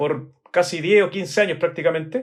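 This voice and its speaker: Talking at a fairly quick pace, a man with a high pitch shows ordinary pitch variation. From Chile. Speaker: architect. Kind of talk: interview. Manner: hesitant, many fillers.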